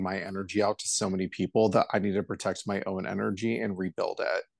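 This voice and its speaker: In an American accent, a man speaks at a fairly low pitch with monotone, flat intonation, the sound dry and close with no echo over a quiet background. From Los Angeles, California. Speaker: hairstylist. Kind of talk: casual chat.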